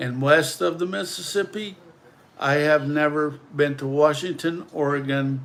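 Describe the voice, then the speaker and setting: A man at a fairly high pitch, with ordinary pitch variation and a fairly slow pace. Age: 60s. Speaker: livestreamer. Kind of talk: livestream monologue. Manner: emotional.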